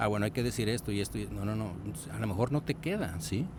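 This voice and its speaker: A man speaks with a fairly low pitch and lively intonation. His tone is dark and mellow, with vocal fry. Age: 60s. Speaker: radiologist and podcast host. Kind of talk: podcast discussion. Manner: conversational, frequent fillers and repetitions.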